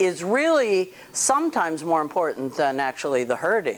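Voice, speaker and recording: At a fairly slow pace, a woman speaks in a plain, everyday voice, fairly low in pitch, with lively intonation. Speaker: dog trainer. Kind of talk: outdoor training demonstration.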